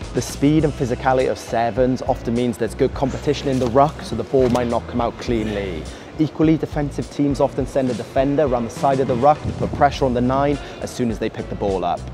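Faint music sits in the background as a man speaks. His pace is very fast, with ordinary pitch variation. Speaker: rugby coach vlogger. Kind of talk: tutorial. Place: hall. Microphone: lapel.

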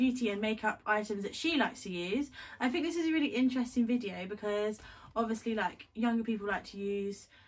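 A somewhat breathy woman's voice at a fairly quick pace, with ordinary pitch variation. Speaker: beauty vlogger. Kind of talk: casual talk to camera. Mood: cheerful, friendly. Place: home room. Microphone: phone near.

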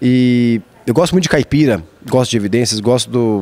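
A man at a fairly quick pace, dry with no echo. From Brazil, Campo Grande, Mato Grosso do Sul; Mato Grosso do Sul, Brazil. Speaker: actor and musician; actor. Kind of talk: interview. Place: bar. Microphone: handheld.

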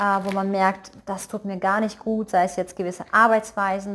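Here a woman speaks at a medium pitch. She goes at a fairly slow pace. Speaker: tarot card reader. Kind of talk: tarot reading monologue. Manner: casual, with frequent fillers; changes pace deliberately. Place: home room.

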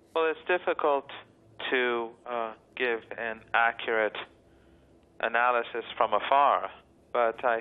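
Fairly slow delivery with fairly even intonation. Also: man. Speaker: university professor, guest. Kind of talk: interview answer. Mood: measured, analytical. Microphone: phone line.

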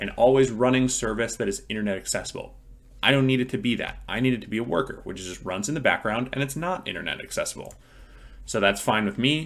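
A man talks with lively intonation. His pace is very fast. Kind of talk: tutorial. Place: home room.

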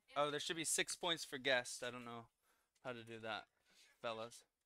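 This voice belongs to a man. It has a bright, sharp tone. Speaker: sports commentator. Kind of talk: live commentary. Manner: animated.

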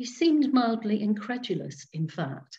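Vocal fry runs through a gentle, warm tone with very wide pitch swings against a quiet background. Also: woman. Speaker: storyteller. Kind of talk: reading aloud ghost story to a Zoom group. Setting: video call. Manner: slow, dramatic, hushed suspense with character voices; gentle, warm storyteller. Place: home room. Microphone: webcam.

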